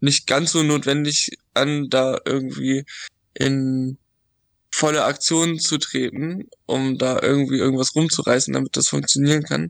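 A man with an ordinary speaking voice talks at a fairly slow pace with a fairly high pitch, fairly even intonation and very even loudness, in a dry, close sound with no echo. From Dithmarschen, rural northern Germany. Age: 20s. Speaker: youth association board member, drug-aid worker. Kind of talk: casual chat.

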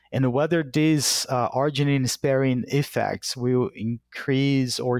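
Fairly slow and with fairly even intonation, the speech comes in a Portuguese accent on a very clean recording with a silent background and a dry, close sound with no echo. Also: man. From Brazil. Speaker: animal science professor. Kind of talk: interview. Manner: halting.

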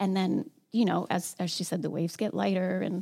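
Speaking at a fairly quick pace, a woman with a medium pitch, ordinary pitch variation, vocal fry and a dark, mellow tone. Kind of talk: reflective group discussion on grief. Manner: casual, chatty, laughs often.

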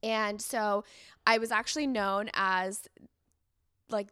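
A woman speaks with a Californian accent. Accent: Californian American English. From San Diego, California. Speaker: influencer and content creator. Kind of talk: casual chat. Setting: on a couch with the host.

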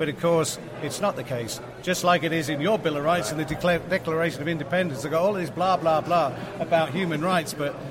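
A man talks fairly quickly in a high voice, his pitch varying in an ordinary way, while noticeable background noise carries on behind him. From England. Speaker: cannabis activist. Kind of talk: interview.

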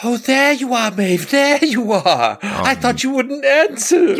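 The voice is a put-on character. It sits at a fairly high pitch. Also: fairly slow pace. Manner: screaming, enraged.

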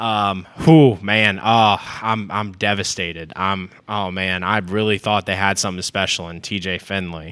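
A man's bright, sharp tone carries at a fairly slow pace. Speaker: podcast host, college sports. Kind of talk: casual sports banter podcast. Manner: excitable, animated.

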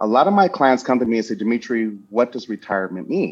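A man talks with a plain, everyday voice at a medium pitch. His intonation is lively. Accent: American. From US Midwest, Chicago South Side. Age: 50s. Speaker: insurance consultant and financial educator. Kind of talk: interview.

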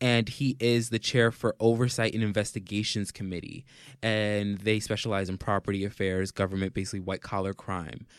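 A man with a normal speaking voice and an American accent, fairly low in pitch, at a fairly quick pace with fairly even intonation, on a very clean recording with a silent background. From New York City. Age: 20s. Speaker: podcast host. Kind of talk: casual chat.

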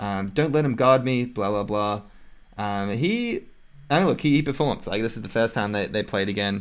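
On a very clean recording with a silent background, a man of medium pitch speaks at a moderate pace with ordinary pitch variation. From Australia. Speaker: podcast host. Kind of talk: casual chat about basketball.

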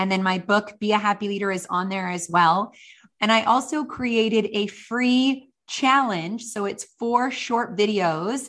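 An unremarkable speaking voice from a woman with a Canadian accent, fairly high in pitch with ordinary pitch variation, over a quiet background. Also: fairly slow pace. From western Canada. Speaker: author and leadership speaker. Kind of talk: interview.

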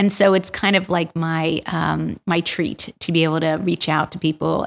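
With an American accent, the speaker uses fairly even intonation and vocal fry. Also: woman. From US Northeast, Bucks County Pennsylvania / Princeton area. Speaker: rheumatologist. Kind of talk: interview. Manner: halting.

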